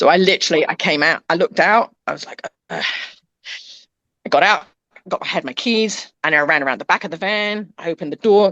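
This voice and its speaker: A woman with a British accent speaks at a fairly quick pace in an animated tone, at medium pitch with ordinary pitch variation and big swings in loudness, the sound dry and close with no echo. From England. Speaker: pet transport business owner. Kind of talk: casual chat.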